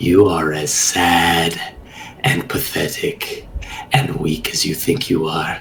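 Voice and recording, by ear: A man uses a put-on character voice, slow and low in pitch with vocal fry. There is little pitch movement, and audible room echo surrounds him. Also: fairly bright tone.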